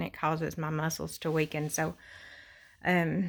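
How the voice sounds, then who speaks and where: At a fairly slow pace, a woman talks at a fairly low pitch with vocal fry. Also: very clean recording, silent background. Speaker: vlogger with chronic illness. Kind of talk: personal health update vlog. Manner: halting, many fillers.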